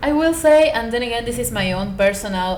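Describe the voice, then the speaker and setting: A woman with a non-native accent talks at a fairly quick pace. Audible room echo and noticeable background noise surround her voice. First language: not English. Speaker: booktuber. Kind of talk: book review vlog. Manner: animated.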